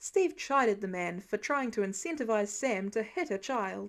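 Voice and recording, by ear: A woman talks at a moderate pace, her pitch swinging in big leaps.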